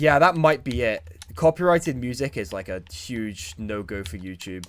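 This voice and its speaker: A man with a British accent talks at a moderate pace and medium pitch, with very wide pitch swings and big swings in loudness. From Britain. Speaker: YouTuber. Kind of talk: live stream chat. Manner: halting.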